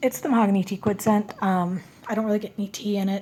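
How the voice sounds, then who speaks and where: A woman's medium-pitched, somewhat breathy voice with a dark, mellow tone and fairly even intonation. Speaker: beauty and fragrance vlogger. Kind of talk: product review vlog. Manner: casual, with frequent fillers.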